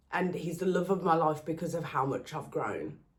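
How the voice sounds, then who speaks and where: A woman with a Birmingham accent speaks in a very deep, low, somewhat breathy voice, with audible room echo. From England, Birmingham. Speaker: relationship content creator. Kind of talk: personal vlog monologue.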